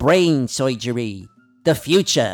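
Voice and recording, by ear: A man does a put-on character voice at a medium pitch. Faint music plays in the background.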